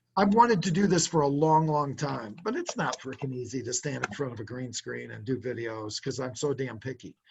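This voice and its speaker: At a very fast pace, a man speaks in a somewhat breathy voice with lively intonation. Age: 60s. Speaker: car sales trainer. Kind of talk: business coaching consultation.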